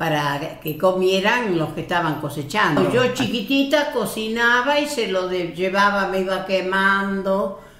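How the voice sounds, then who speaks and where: A woman with a medium pitch and lively intonation speaks at a fairly slow pace, with audible room echo. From Spain, Galicia (Lugo), emigrated to Argentina at 14. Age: 80s+. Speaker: elderly immigrant relative. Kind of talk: family interview, life story.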